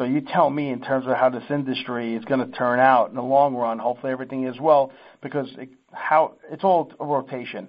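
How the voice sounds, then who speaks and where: A man with a normal speaking voice, medium pitch, fairly even intonation and a fairly quick pace. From Sicily, Italy; raised in US from age five. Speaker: seafood business owner. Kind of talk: casual chat.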